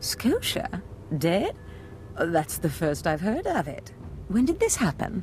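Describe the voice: A woman does a put-on character voice with a slightly mellow tone and fairly low pitch. She speaks at a slow pace with very wide pitch swings.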